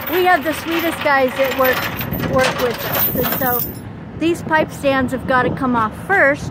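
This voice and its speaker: Loud background noise surrounds the fairly slow speech, which is recorded dry with no echo. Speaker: truck driver vlogger. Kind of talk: casual vlog chat. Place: open country. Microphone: phone near.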